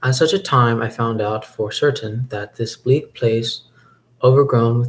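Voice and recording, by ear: Someone reads a text aloud, using a natural voice.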